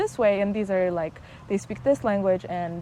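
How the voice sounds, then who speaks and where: A dark, mellow tone with ordinary pitch variation, in a Persian accent. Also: woman. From Iran, moved to the US at eight. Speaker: psychologist. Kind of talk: casual interview chat. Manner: hesitant, many fillers and restarts.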